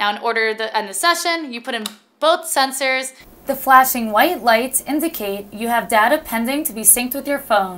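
A woman speaks at a moderate pace in a high-pitched, bright, sharp tone, with ordinary pitch variation and big swings in loudness. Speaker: presenter. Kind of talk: tutorial. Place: studio.

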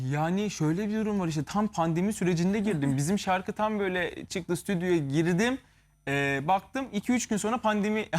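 A man's high voice at a moderate pace with ordinary pitch variation, in a very clean recording over a silent background. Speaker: musician. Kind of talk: interview.

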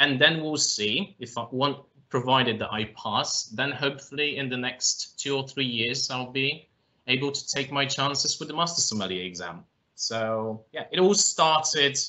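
Speaking at a moderate pace, a man lets his pitch vary in an ordinary way. Behind him, it stays quiet. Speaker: guest. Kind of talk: interview answer. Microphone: video call.

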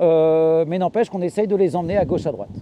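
With a dark, mellow tone and ordinary pitch variation, the voice moves at a moderate pace in a dry sound with no echo. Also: man. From Normandy, France. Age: 40s. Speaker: market gardener. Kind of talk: farm tour talk. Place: farm machine.

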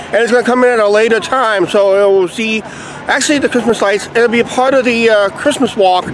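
A fairly even intonation over a dry sound with no echo and light background noise. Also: man, extremely high pitch for a man. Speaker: vlogger. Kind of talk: casual vlog chat. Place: street. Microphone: phone near.

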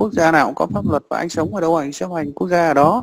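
A man with a fairly high pitch at a fast pace. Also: ordinary pitch variation.

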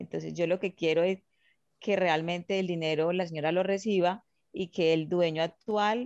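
An ordinary speaking voice moves at a moderate pace with fairly even intonation. The background is quiet and the sound dry with no echo. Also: woman. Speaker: student participant. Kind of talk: question during online class. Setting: video call. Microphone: video call.

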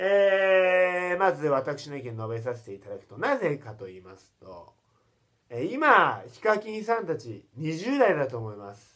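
Speaking at a fairly slow pace, the voice makes very wide pitch swings and big swings in loudness. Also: man, high pitch for a man. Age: 20s. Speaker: comedian. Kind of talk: vlog monologue. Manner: animated.

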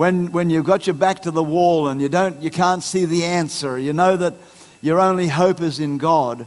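This man has a high pitch and fairly even intonation. He keeps a moderate pace. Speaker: pastor. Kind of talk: sermon. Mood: encouraging, earnest. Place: church. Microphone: headset.

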